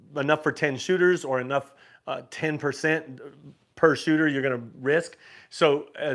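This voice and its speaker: The recording is very clean, with a silent background. A man talks with fairly even intonation. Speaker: YouTube host of a cruise and craps channel. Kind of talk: livestream Q&A. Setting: livestream. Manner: fast; casual, with many fillers.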